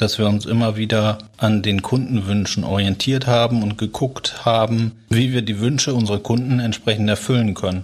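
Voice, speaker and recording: This is a man with a plain, everyday voice. His pitch sits at a medium level. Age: 40s. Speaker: company founder and managing director. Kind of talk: podcast interview.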